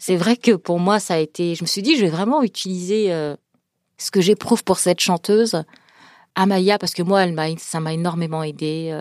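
In a normal speaking voice, a woman talks at a moderate pace with a fairly low pitch and ordinary pitch variation, heard dry and close with no echo on a very clean recording with a silent background. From France, Paris suburbs, Senegalese family. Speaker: author and speaker. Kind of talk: interview.

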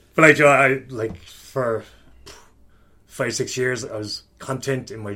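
A man speaks with a strong Kerry accent at a moderate pace and with ordinary pitch variation. The recording is very clean, with a silent background. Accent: strong Kerry Irish. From Kerry, Ireland. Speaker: coach. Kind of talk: casual chat. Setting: in person, recorded in a room. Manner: animated, swears often.

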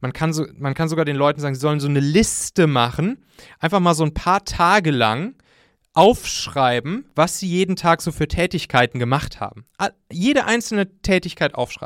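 Lively intonation and an animated tone come from a man with a fairly high pitch at a moderate pace. The recording is very clean, with a silent background. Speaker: startup founder and podcast host. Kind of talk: talk to an audience. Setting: school with audience. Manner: gets louder and higher when excited.

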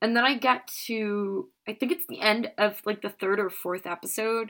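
Moving at a fairly slow pace, a woman with medium pitch and a bright, sharp tone shows ordinary pitch variation in a very clean recording with a silent background. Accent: American. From Norway and US. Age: 20s. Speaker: TV expert. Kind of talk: casual chat.

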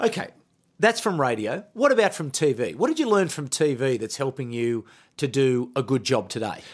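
Speaking at a moderate pace, a man with a medium pitch lets it swing very widely. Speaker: podcast host. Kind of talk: interview.

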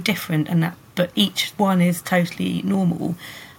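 There is noticeable background noise as a woman speaks with a British accent. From UK countryside. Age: 30s. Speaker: sex educator. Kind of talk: interview.

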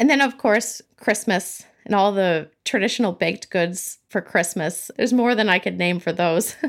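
With an American accent, a woman at a medium pitch talks at a moderate pace with hardly any pauses, very even loudness and ordinary pitch variation, on a very clean recording with a silent background. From California. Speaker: baking YouTuber. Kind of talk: casual interview.

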